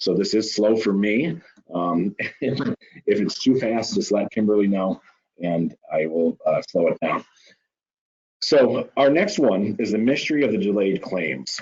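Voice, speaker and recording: An ordinary speaking voice with lively intonation at a fairly slow pace. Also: man, fairly low pitch for a man. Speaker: insurance claims staff presenter. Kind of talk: webinar presentation. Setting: online webinar.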